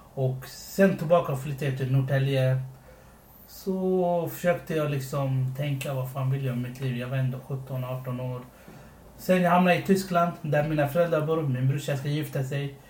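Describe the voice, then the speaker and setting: A man's somewhat breathy voice, fairly high in pitch with fairly even intonation, amid audible room echo. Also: moderate pace. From Sri Lanka, came to Sweden as a child. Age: 20s. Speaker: podcast co-host. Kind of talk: casual chat.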